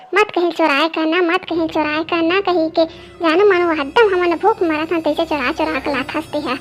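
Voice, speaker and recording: A woman uses a cartoonish character voice with an extremely high pitch and fairly even intonation. She keeps a moderate pace with hardly any pauses, and clear music plays in the background. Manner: scolding, cursing.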